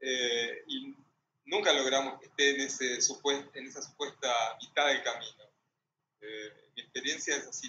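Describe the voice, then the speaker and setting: A man speaking at a very slow pace with a Rioplatense accent. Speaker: moderator, translator. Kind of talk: panel discussion. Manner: halting.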